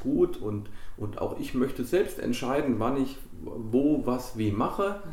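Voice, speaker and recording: A man at a fairly slow pace with ordinary pitch variation, with audible room echo and noticeable background noise. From Germany, central Hesse (Biedenkopf area). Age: 30s. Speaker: football club chairman. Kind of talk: interview.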